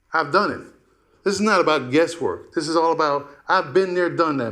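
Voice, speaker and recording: Audible room echo surrounds a man's high voice as he speaks at a fairly quick pace. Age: 60s. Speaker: business owner presenting a proposal. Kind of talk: public comment at council meeting. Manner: halting.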